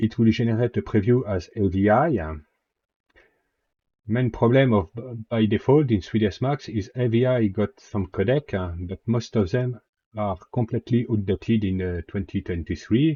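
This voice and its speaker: A man's somewhat breathy voice with a French accent, medium in pitch with ordinary pitch variation, at a moderate pace. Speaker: 3D software tutorial maker. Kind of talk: software tutorial narration. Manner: casual, hesitant with fillers.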